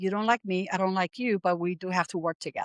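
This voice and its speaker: A woman's medium-pitched voice in a Puerto Rican accent, dry and close with no echo, over a quiet background. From Puerto Rico, San Juan. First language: Spanish. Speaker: aviation professional, military veteran. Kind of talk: podcast interview.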